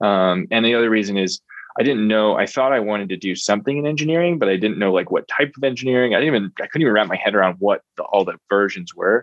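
Speaking very fast with hardly any pauses, a man with an American accent uses a medium pitch and lively intonation. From US Northeast, Reading, Pennsylvania. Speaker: entrepreneur. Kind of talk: interview. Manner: frequent filler words (um).

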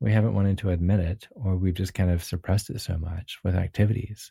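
A calm, somewhat breathy man at a moderate pace, in a very clean recording with a silent background. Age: 40s. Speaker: pianist and composer. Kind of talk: casual chat.

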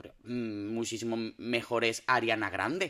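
The man's voice has a bright, sharp tone. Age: 30s. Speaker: podcast host. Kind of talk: casual chat. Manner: animated.

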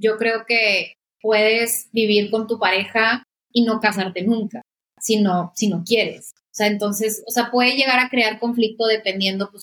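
Flat and monotone, a woman speaks at a medium pitch. Her tone is bright and sharp. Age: 30s. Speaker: graphic designer. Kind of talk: casual chat.

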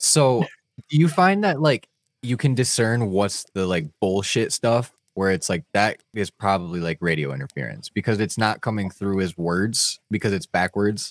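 An unremarkable speaking voice from a man, fairly low in pitch at a moderate pace, in a dry, close, very clean recording with a silent background and no echo. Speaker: podcast host. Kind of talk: casual chat.

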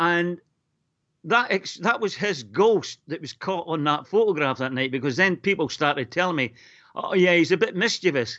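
Speaking at a moderate pace with a Northern Irish accent, a man uses a high pitch and lively intonation. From Northern Ireland, Lurgan. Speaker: caller. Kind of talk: radio phone-in call. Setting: phone call.

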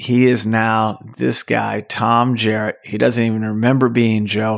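With an unremarkable speaking voice, a man talks fairly slowly at a medium pitch, his intonation fairly even. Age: 50s. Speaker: movie podcast host. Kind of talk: casual solo podcast monologue.

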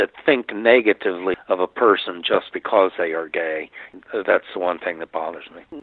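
A man with an American accent speaks at a moderate pace in a very deep, low voice with ordinary pitch variation. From Northern Virginia, US. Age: 70s. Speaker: lawyer and LGBT advocacy board member. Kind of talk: interview.

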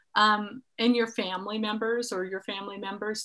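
A woman talks in an ordinary speaking voice with an American accent. Her pitch is fairly high and her pace moderate. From US West Coast, San Francisco Bay Area. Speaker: podcast host, singer-songwriter. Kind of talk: casual interview.

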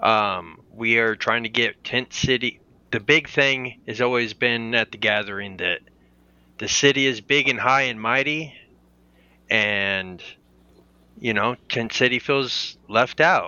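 A man with a medium-pitched voice speaks at a very slow pace with ordinary pitch variation. He leaves long, frequent pauses. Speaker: mayoral running mate candidate. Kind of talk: casual interview.

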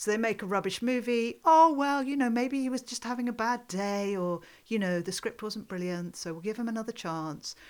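A moderate pace with hardly any pauses, lively intonation in a British accent, on a very clean recording with a silent background. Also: woman, fairly high pitch for a woman. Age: 50s. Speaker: podcast host and film festival director. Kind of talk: casual chat. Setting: in person in a home study.

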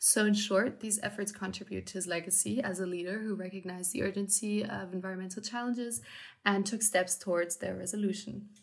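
This woman has a medium pitch and a somewhat breathy sound. She talks at a fairly quick pace with fairly even intonation. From Munich, Germany. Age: 20s. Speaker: university student. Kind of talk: podcast discussion.

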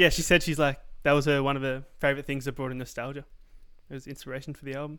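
In an Australian accent, a man talks very fast at a fairly high pitch, his tone bright and sharp, his intonation monotone and flat, and his loudness swinging widely. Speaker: podcast co-host. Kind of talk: casual chat. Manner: laid-back, swears casually.

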